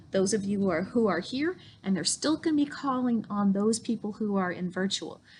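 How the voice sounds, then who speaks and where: A woman of medium pitch speaks in a somewhat breathy voice, her pitch making very wide swings. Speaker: school principal. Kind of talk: school video tour. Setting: school campus, indoors.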